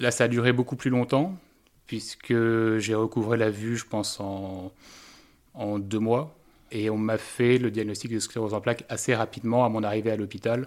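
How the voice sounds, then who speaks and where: A man speaks at a medium pitch in a calm tone, with fairly even intonation. The recording is very clean, with a silent background. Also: moderate pace. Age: 30s. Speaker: patient. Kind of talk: testimony.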